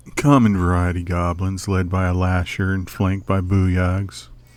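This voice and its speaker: In a put-on character voice, a man speaks at a moderate pace with very deep, low pitch. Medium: video game. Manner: polite, dry.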